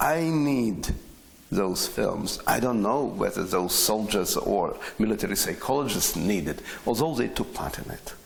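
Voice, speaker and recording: At a fairly slow pace, a man's voice makes very wide pitch swings amid audible room echo and noticeable background noise. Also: medium pitch for a man. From Ukraine, Chernivtsi. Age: 60s. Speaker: poet and radio broadcaster. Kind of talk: interview. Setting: on location at a poetry festival. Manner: halting.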